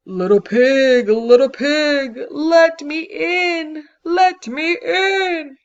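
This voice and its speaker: This put-on character voice is high-pitched and moves at a very slow pace. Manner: scary, menacing.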